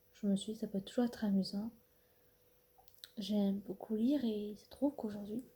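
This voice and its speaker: With a normal speaking voice, a woman talks at a fairly high pitch and a fairly quick pace, her intonation fairly even and her loudness swinging widely. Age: 20s. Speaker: ASMR artist. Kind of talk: ASMR talk to camera.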